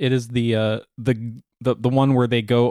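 Flat, monotone intonation runs through a man's medium-pitched voice. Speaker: podcast host. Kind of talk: casual chat. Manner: jokey, laughs often.

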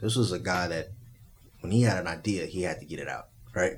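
Somewhat breathy, a man with an American accent talks at a fairly quick pace with ordinary pitch variation. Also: very clean recording, silent background. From Texas (Spring, near Houston). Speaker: teacher and musician. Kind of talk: casual chat. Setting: studio.

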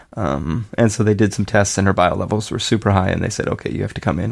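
There is noticeable background noise as a man speaks at a very fast pace with ordinary pitch variation. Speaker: podcast host, new father. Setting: home, baby sleeping in room.

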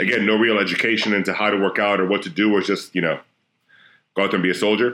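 Speaking at a very fast pace with an American accent, a man with a fairly low, bright, sharp voice holds fairly even intonation and very even loudness on a very clean recording with a silent background. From Florida. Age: 30s. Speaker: strength and conditioning coach. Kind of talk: casual chat.

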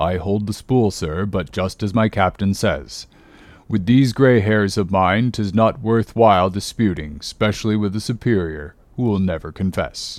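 A man's put-on character voice, fairly low in pitch, with ordinary pitch variation and a moderate pace, on a very clean recording with a silent background. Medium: read story. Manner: cautious, respectful.

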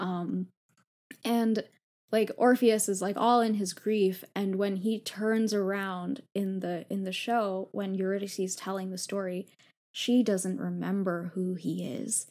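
A woman with a normal speaking voice and medium pitch talks fairly slowly with fairly even intonation on a very clean recording with a silent background. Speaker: law fellow and author. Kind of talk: casual chat.

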